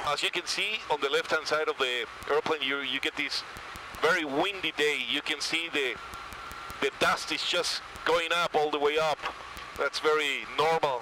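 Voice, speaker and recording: A man speaks at a moderate pace with fairly even intonation and long, frequent pauses. The sound is dry with no echo, and background noise is noticeable. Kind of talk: commentary. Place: plane. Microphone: headset.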